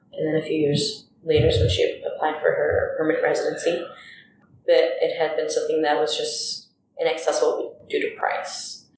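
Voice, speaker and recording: A woman speaks with an American accent. The room echo is audible. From Hollywood, California. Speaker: library assistant and commission member. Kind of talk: interview.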